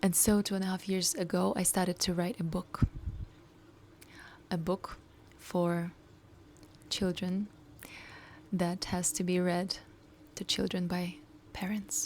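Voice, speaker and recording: A woman with a non-native accent speaks at a fairly slow pace, pausing long and often. Her voice is medium in pitch and somewhat breathy, with fairly even intonation. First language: not English. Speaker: coach and startup founder. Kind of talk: personal video diary.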